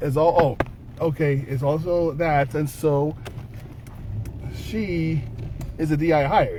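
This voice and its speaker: A man talks in a fairly high register while noticeable noise fills the background. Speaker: channel co-host, spiritual healing vlogger. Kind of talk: casual chat. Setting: in a car.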